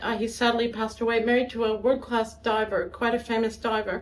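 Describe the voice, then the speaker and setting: With an American accent and a normal speaking voice, a woman talks at a fairly quick pace, fairly high in pitch, her intonation fairly even. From US South, Atlanta, Georgia. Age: 60s. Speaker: violinist. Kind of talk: interview.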